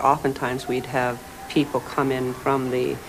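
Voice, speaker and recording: Noticeable background noise sits behind a woman speaking at a very deep, low pitch. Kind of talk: interview answer, anecdote. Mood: warm, lightly humorous. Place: office.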